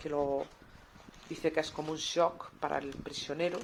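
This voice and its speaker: The woman's pitch is very deep and low. She keeps her intonation fairly even. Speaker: radio presenter. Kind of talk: radio book review segment. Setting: radio studio. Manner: hesitant, conversational.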